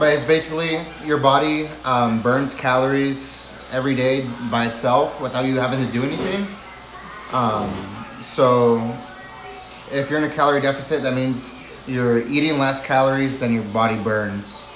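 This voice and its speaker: Over noticeable background noise and audible room echo, the speaker goes at a moderate pace with fairly even intonation and long, frequent pauses. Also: man, medium pitch for a man. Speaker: livestreamer. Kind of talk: casual chat.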